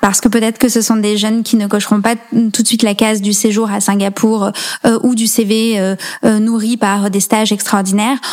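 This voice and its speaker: This woman's voice sits fairly high and moves at a moderate pace. The intonation stays monotone and flat. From rural central France (Allier, Nièvre). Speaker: nonprofit founder. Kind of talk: interview.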